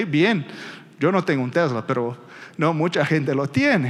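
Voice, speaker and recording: A man with a Brazilian accent speaks at a moderate pace with lively intonation. There is noticeable background noise. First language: Portuguese (speaking Spanish). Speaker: energy industry analyst. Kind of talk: conference presentation. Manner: halting, with frequent fillers and repetitions.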